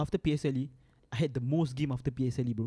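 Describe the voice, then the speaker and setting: A man's fairly high voice in a Singaporean accent, dark and mellow in tone, at a moderate pace, with a dry, close sound and no echo. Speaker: podcast co-host. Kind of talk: casual chat.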